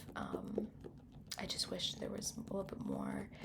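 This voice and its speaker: A soft-spoken woman, with noticeable background noise. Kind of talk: ASMR librarian roleplay. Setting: library roleplay with rain background noise.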